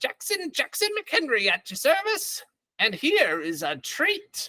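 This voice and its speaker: A put-on character voice at a fairly slow pace. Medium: actual play. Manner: uncanny, laughing, ingratiating.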